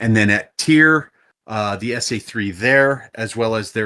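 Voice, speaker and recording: In a very clean recording with a silent background, a man with an American accent speaks very slowly in a bright, sharp tone. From US. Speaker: flight sim mission commander. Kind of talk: mission briefing.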